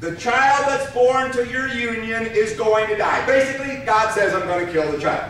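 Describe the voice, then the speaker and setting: Lively and raised to a projected level, a man's extremely high-pitched voice comes through audible room echo and noticeable background noise. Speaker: pastor. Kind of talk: sermon. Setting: church.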